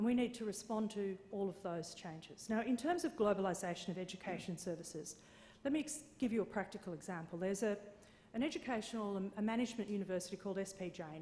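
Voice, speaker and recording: Speaking very fast with an Australian accent, a woman has a medium pitch, ordinary pitch variation, and a dark, mellow, somewhat breathy tone. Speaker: conference speaker on copyright licensing. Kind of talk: conference presentation. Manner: hesitant with fillers.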